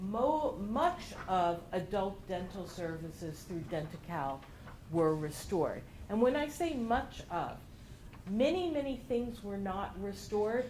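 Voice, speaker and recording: A woman speaks loudly and fairly slowly, her pitch swinging very widely. Audible room echo surrounds her voice. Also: medium pitch for a woman. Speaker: regional center health services director. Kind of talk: presentation.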